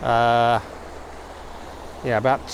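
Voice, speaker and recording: Noticeable background noise is present throughout. A man talks over it. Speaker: landscape photographer vlogger. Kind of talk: vlog tutorial. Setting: outdoors. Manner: soft-spoken.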